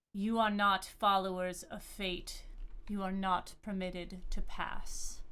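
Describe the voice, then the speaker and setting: A woman's booming, put-on character voice at a medium pitch and a fairly slow pace. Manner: commanding, forbidding.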